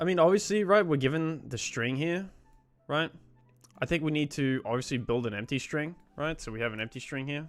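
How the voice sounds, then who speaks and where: A man with an Australian accent, fairly high-pitched, at a fairly quick pace with ordinary pitch variation and music in the background. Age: 20s. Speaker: programming streamer. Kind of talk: casual live-stream chat while coding. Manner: casual, filler-heavy.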